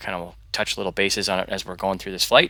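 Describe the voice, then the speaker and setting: Quiet and bright with a sharp tone, a man speaks at a fairly low pitch. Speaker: flight sim youtuber with low vision. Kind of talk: tutorial. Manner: hesitant, many ums.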